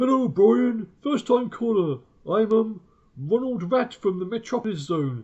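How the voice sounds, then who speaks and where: A man puts on a squeaky character voice, pitched high. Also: moderate pace. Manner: playful, faking a phone call.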